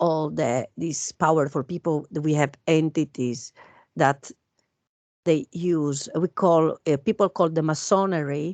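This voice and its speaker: Against a quiet background, a woman with a non-native accent speaks at a very deep, low pitch. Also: dry, close sound with no echo. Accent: foreign. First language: not English. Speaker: guest speaker on alien conspiracy topics. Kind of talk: casual chat. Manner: hesitant, many fillers.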